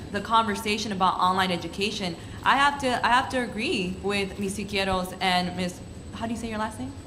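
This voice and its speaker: With audible room echo and noticeable background noise, a woman in a Spanish accent speaks with fairly even intonation. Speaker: student panelist. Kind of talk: panel discussion.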